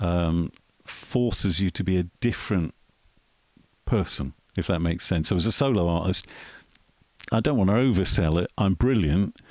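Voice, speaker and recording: A man talks at a moderate pace with a very deep, low pitch and ordinary pitch variation. His speech has long, frequent pauses, and the sound is dry and close with no echo. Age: 50s. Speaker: musician. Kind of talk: casual interview chat. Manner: hesitant with fillers.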